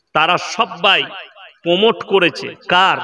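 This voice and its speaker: A man speaks in a raised, projected voice. His pitch is high. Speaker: Islamic preacher. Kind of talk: Islamic sermon at a public gathering. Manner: fiery, rhetorical, loud.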